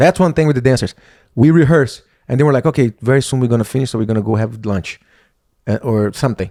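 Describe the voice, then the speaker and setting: A man speaks very fast with a Brazilian Portuguese accent, at a medium pitch with ordinary pitch variation. His tone is dark and mellow, and the recording is very clean with a silent background. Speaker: professional dancer and podcast co-host. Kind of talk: casual chat.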